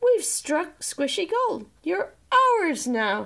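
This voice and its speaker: Doing a put-on character voice, a woman speaks at an extremely high, squeaky pitch. Her pitch swings very widely while her pace stays very slow. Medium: read story.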